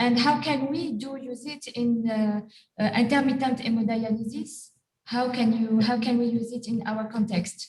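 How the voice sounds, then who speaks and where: A woman with a French accent speaks at a moderate pace in a fairly high voice with fairly even intonation. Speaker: physician. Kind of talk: webinar question.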